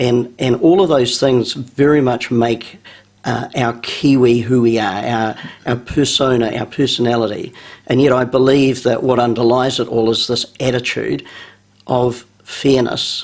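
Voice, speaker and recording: This man talks at a fairly slow pace, his medium-pitched voice keeping a fairly even intonation. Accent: New Zealand. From New Zealand. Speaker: business school founder. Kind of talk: radio interview.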